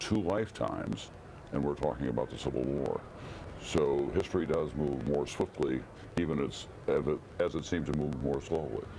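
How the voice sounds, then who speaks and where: A man's very deep, low voice at a moderate pace, with ordinary pitch variation, very even loudness and noticeable background noise. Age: 60s. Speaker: political commentator. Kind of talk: live TV commentary panel.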